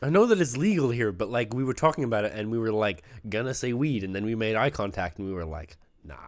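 Lively in intonation and very fast in pace, a man speaks at medium pitch. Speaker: podcast co-host. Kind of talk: casual chat.

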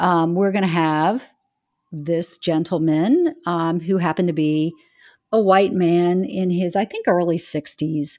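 Using a normal speaking voice, a woman talks at a fairly slow pace and fairly low pitch on a very clean recording with a silent background. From US South. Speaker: investment firm founder and CEO. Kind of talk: interview.

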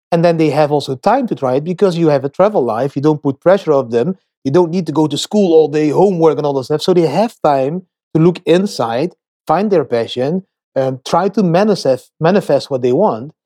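Speaking with a Dutch accent, a man has a dark, mellow tone and ordinary pitch variation, in a dry, close sound with no echo. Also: fairly quick pace. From Netherlands. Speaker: bitcoin investor and traveling nomad. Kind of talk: interview. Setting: remote call. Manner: talkative.

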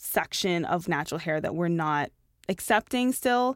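A woman with a plain, everyday voice speaks at a moderate pace and fairly low pitch. The recording is very clean with a silent background, and the sound is dry and close with no echo. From Canada, Toronto. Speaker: fashion and beauty editor. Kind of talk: casual interview chat.

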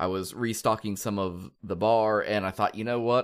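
In a very clean recording with a silent background, a man with an American accent and fairly low pitch speaks with fairly even intonation. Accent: Midwestern drawl, slight Southern. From Kansas. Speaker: podcast host. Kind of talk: casual podcast chat.

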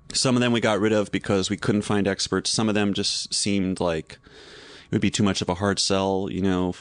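In an American accent, a man with a fairly low pitch speaks in a monotone, flat way with hardly any pauses, over a quiet background. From US South. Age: 40s. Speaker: TV host and comedian. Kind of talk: casual chat.

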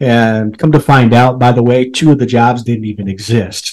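This man speaks with a US Midwestern accent. His pace is moderate. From Nebraska, US Midwest. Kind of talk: casual storytelling interview.

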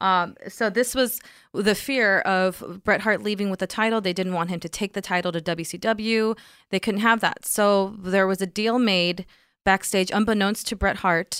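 An unremarkable speaking voice comes from a woman with an American accent, at medium pitch and a moderate pace, in a very clean recording with a silent background. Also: fairly even intonation. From Texas (Sweetwater). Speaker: gamer and gaming coach. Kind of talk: casual chat, explaining history.

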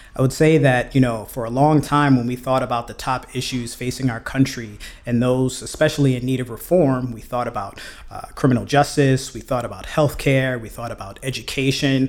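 With an American accent, a man talks at a fairly quick pace and fairly even intonation. His loudness swings widely over noticeable background noise. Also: medium pitch for a man. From US Northeast (Brooklyn, New York City). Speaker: mobility policy expert. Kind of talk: interview podcast.

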